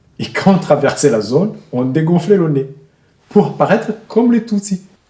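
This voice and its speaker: At a moderate pace, a man with a high voice and a dark, mellow tone swings very widely in pitch. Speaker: humanitarian worker and journalist. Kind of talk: casual explanation.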